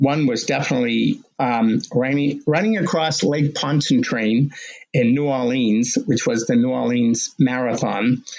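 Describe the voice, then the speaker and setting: A man in a normal speaking voice, fairly high in pitch, with ordinary pitch variation and a fairly slow pace. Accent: American. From Massachusetts, Medford (Boston area). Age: 60s. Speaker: marathon runner and race director. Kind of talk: podcast interview. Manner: casual with fillers.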